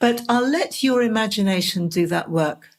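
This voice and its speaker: A woman's somewhat breathy voice with an English accent, at a moderate pace. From England. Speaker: podcast host, dream interpreter. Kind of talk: scripted podcast monologue.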